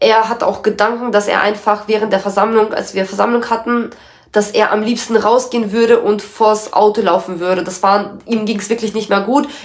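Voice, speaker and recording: Speaking at a moderate pace, a woman uses a fairly high pitch with monotone, flat intonation. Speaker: YouTuber, former Jehovah's Witness. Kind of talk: personal testimony. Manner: casual, emotional.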